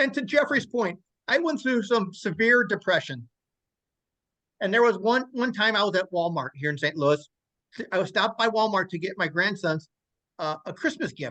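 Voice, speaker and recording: A man speaks in a raised, projected voice with a bright, sharp tone, high pitch, very wide pitch swings, and long, frequent pauses. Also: moderate pace. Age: 60s. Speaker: stroke survivor. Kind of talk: testimony. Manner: halting, frequent stammers and restarts.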